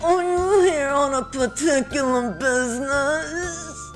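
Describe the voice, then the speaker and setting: Over clear music in the background, someone uses a put-on character voice at a fairly slow pace. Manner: uptight, stuffy.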